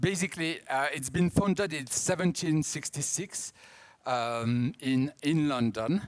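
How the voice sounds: A man with a strong French accent speaks at a fairly high pitch and a fairly slow pace, with ordinary pitch variation.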